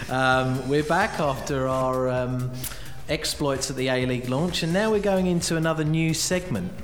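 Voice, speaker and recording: A man with a fairly high voice speaks in an upbeat tone at a moderate pace over noticeable background noise. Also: ordinary pitch variation. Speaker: podcast host. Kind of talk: casual podcast hosting banter. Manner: chatty, jokey, upbeat.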